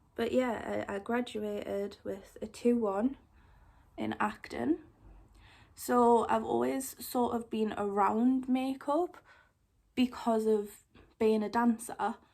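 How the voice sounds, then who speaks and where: With a Geordie accent and a fairly high pitch, a woman speaks at a very slow pace with long, frequent pauses. Her pitch varies an ordinary amount. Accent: Geordie (Newcastle). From northern England, Newcastle. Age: 20s. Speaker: makeup YouTuber. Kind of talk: casual chat, makeup tutorial. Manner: chatty.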